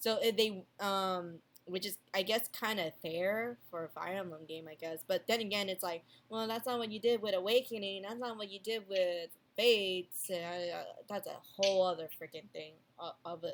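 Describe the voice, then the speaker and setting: Her loudness swinging widely, a woman speaks at medium pitch with fairly even intonation and a non-native accent. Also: moderate pace. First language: not English. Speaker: podcast co-host. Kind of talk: casual chat. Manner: halting, many fillers and restarts.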